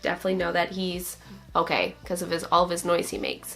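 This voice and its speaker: A woman's voice amid noticeable background noise. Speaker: motherhood and lifestyle vlogger. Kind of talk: casual vlog update. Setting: at home.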